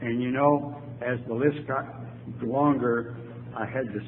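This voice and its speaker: Speaking at a fairly slow pace in a medium pitch, a man is heard with audible room echo and noticeable background noise. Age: 80s+. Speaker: AA speaker, retired lawyer. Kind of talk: recovery talk to audience.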